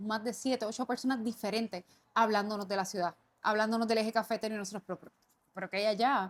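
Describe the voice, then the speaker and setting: Speaking very fast with a Puerto Rican accent, a woman keeps a fairly high pitch and fairly even intonation. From Puerto Rico. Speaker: podcast co-host, business owner. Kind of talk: casual podcast conversation.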